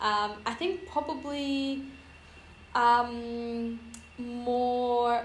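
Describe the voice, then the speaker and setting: Speaking at a very slow pace with long, frequent pauses, a woman talks in a high-pitched voice. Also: ordinary pitch variation. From Iran. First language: Persian. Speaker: friend of the host, immigrant to Scotland. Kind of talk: casual chat.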